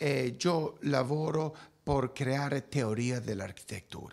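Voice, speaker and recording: Here a man speaks at a very slow pace with a Spanish accent. His pitch is fairly high. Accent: Spanish-accented Italian. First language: Spanish (speaking Italian). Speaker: architect. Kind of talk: interview; interview answer. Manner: halting. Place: office. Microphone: handheld.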